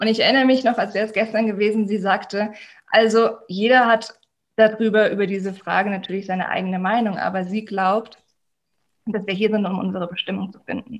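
Her intonation monotone and flat, a woman talks at a fairly quick pace. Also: medium pitch for a woman, big swings in loudness. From Germany. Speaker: life coach. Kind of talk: interview.

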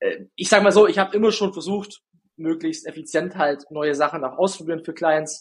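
This man speaks at a fairly quick pace in a high pitch. His pitch varies in an ordinary way. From Bavarian Swabia, Günzburg area. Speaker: ad agency founder, TikTok ads expert. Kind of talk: interview.

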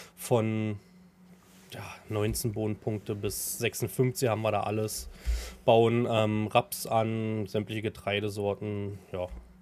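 A man speaks at a very slow pace in a fairly low voice, leaving long, frequent pauses, his intonation fairly even. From Brandenburg, Havelland. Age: 30s. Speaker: farmer and streamer. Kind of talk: casual chat.

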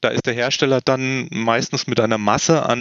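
A man's unremarkable speaking voice at medium pitch. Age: 50s. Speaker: medical device consultant. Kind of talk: expert interview.

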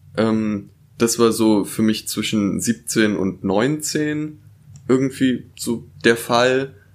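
Ordinary pitch variation marks a man's medium-pitched voice as he speaks at a very slow pace. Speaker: podcast co-host. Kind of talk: casual chat.

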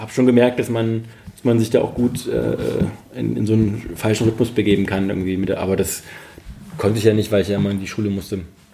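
At a very fast pace, a man talks with fairly even intonation. His pitch is fairly low. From Saxony, Dresden. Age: 40s. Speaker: freelance journalist. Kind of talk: casual interview. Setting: home. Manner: halting.

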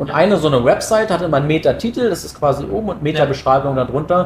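A man's somewhat breathy voice sits fairly high in pitch, with ordinary pitch variation. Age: 20s. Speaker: SEO project manager. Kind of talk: casual expert interview.

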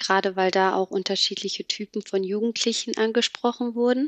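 This woman speaks at a moderate pace with fairly even intonation. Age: 20s. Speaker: trainee office clerk. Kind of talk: casual interview. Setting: video call. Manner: halting, many fillers.

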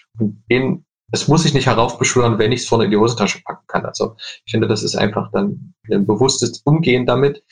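A man speaks at a very fast pace in a medium-pitched, somewhat breathy voice with ordinary pitch variation. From Leipzig, eastern Germany. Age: 20s. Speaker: furniture designer. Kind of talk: interview.

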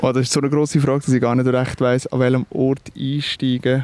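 A man with a Swiss accent, medium-pitched and fairly quick, in a dry, close recording with no echo. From Switzerland. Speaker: musician, singer-songwriter. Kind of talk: interview. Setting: outdoors by a river. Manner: hesitant, with fillers.

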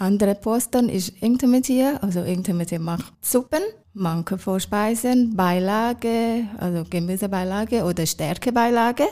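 A woman at a moderate pace, in a Thai accent, with a dark, mellow tone and a very clean recording on a silent background. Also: medium pitch for a woman, ordinary pitch variation. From Thailand, Bangkok. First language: Thai (speaking German). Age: 40s. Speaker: hospital kitchen cook. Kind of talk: interview.

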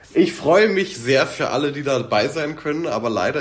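Noticeable background noise surrounds a man speaking at moderate pace. His medium-pitched voice has lively intonation. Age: 20s. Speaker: content creator reviewing TV series. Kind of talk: casual chat.

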